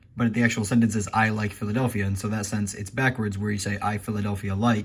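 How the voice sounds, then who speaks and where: A man speaks at a very fast pace in a fairly low, somewhat breathy voice with monotone, flat intonation. The recording is very clean, with a silent background. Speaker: video creator. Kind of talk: vlog monologue.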